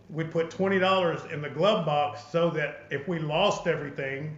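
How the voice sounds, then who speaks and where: With an Arkansas accent, a man speaks at a moderate pace in a fairly high voice and fairly even intonation, with audible room echo and noticeable background noise. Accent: Southern US (Arkansas). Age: 60s. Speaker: podcast host. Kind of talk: casual interview chat.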